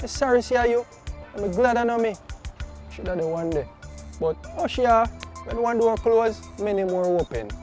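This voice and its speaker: With music in the background, a high-pitched man talks at a moderate pace with lively intonation. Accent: Jamaican. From Jamaica. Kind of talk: casual talk to camera.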